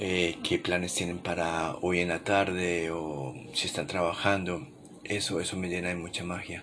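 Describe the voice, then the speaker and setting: Soft-spoken and calm in tone, a man with a very deep, low pitch talks at a fairly slow pace amid audible room echo. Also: fairly even intonation. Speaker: podcast host. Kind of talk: late-night reflective monologue. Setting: home living room at night. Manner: soft, intimate; calm, unhurried.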